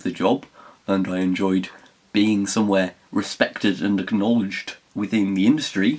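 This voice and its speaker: A man with a Geordie accent speaks at a fairly low pitch and moderate pace. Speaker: writer. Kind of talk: casual talk to camera.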